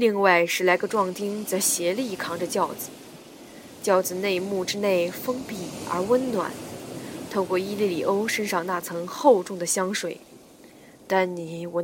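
Amid noticeable background noise, a woman speaks fairly slowly at a medium pitch. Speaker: audiobook narrator. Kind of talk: reading aloud. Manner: animated.

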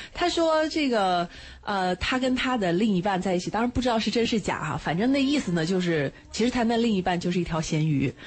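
A woman talks at a fairly quick pace, somewhat breathy, her pitch making very wide swings. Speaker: radio host. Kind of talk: radio talk show. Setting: studio.

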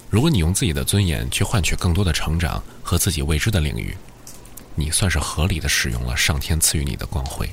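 Noticeable background noise and audible room echo surround this recording. A man with a very deep, low pitch speaks at a moderate pace with lively intonation. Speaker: late-night radio DJ. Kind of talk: late-night radio monologue. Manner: fluent; soft-spoken.

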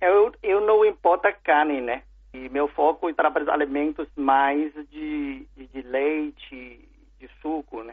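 With a Chinese accent, this man talks at a very slow pace in a fairly high pitch, his loudness swinging widely while his pitch varies in an ordinary way. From China. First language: Chinese (speaking Portuguese). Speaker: food importer. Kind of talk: interview. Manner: halting.

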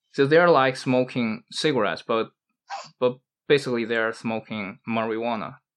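The speech moves at a moderate pace. It carries a Chinese accent. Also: man, medium pitch for a man, ordinary pitch variation. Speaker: podcast host. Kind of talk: casual chat. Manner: halting.

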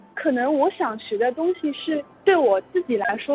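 Amid noticeable background noise, a woman's high-pitched voice swings very widely in pitch. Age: young. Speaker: university student. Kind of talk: interview. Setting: phone call.

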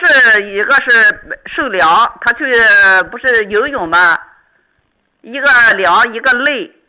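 A woman's fairly high voice, bright and sharp in tone, with lively intonation at a very slow pace. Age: 60s. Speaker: radio call-in listener. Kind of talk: phone-in health consultation.

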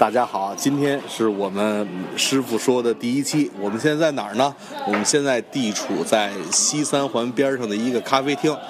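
A man with a medium pitch speaks at a moderate pace. Noticeable background noise runs behind him. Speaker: primary school math teacher, podcast host. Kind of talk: casual chat. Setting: coffee shop.

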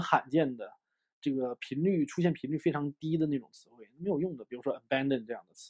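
With a dark, mellow tone and fairly high pitch, a man speaks at a fairly quick pace with ordinary pitch variation, the sound dry and close with no echo. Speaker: English teacher. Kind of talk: lecture. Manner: animated.

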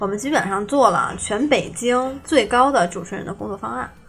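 Fairly quick delivery from a woman, with noticeable background noise. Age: young. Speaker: script-murder game shop owner. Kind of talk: casual interview chat.

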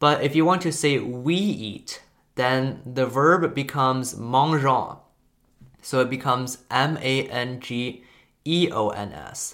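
Speaking at a very slow pace, a man with a Chinese accent keeps a medium pitch and ordinary pitch variation. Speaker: language learning content creator. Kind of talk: casual educational monologue. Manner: hesitant, with frequent fillers.

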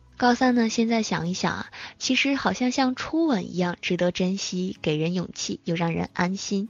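A woman's medium-pitched, ordinary speaking voice with ordinary pitch variation. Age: 20s. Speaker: internet radio host. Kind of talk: casual chat.

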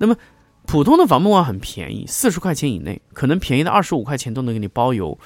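A man speaks at a very fast pace, his pitch fairly high with some vocal fry. His voice swings very widely in pitch. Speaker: podcast host discussing recording gear. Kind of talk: casual monologue tutorial. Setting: home studio, condenser mic with pop filter. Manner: halting, many fillers and repeated words.

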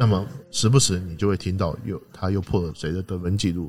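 Very deep, low male voice, somewhat breathy, fairly quick, with ordinary pitch variation. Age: 40s. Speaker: basketball writer and podcast host. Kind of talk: casual chat.

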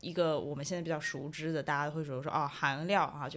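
Very deep and low in pitch, a woman talks at a very fast pace with fairly even intonation. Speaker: marketer. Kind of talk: casual chat.

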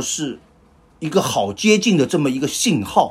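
With very wide pitch swings and vocal fry, a man speaks. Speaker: podcast host. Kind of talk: casual chat.

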